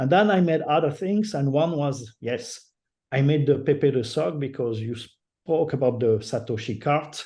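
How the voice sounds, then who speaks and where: A man with a French accent speaks at a moderate pace, his fairly high pitch moving in lively intonation, with a dark, mellow tone that is somewhat breathy. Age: old. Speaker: digital artist. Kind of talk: interview. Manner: halting.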